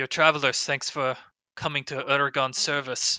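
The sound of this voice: A man puts on a gruff character voice at a fairly high pitch. He keeps a moderate pace.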